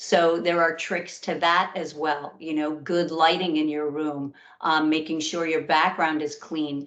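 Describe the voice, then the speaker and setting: Someone speaks with an American accent at a fairly slow pace. The intonation stays fairly even. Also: woman. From New York. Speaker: career workshop presenter. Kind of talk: webinar presentation.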